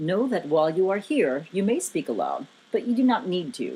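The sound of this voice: A woman's put-on character voice, fairly low in pitch with very wide pitch swings, dark and mellow in tone with a slightly husky edge. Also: moderate pace.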